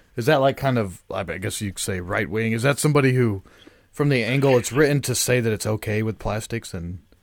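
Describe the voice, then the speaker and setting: A man speaks at a fairly quick pace with ordinary pitch variation. He has an ordinary speaking voice. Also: medium pitch for a man, very clean recording, silent background. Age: 30s. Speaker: podcast host. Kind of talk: casual chat. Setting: studio.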